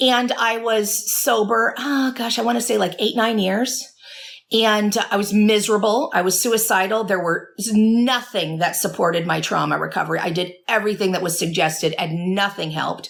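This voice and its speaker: Over noticeable background noise, a woman with a fairly high voice talks at a moderate pace with ordinary pitch variation. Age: 40s. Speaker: addiction recovery therapist and author. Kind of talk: interview conversation. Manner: stutters when emotional; earnest.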